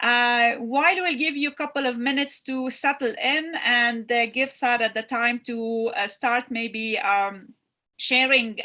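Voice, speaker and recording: A woman speaks loudly at a high pitch with a bright, sharp tone and ordinary pitch variation. Her pace is fairly slow, on a very clean recording with a silent background. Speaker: retreat host. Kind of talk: livestream introduction. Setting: live stream on Facebook and YouTube. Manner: halting.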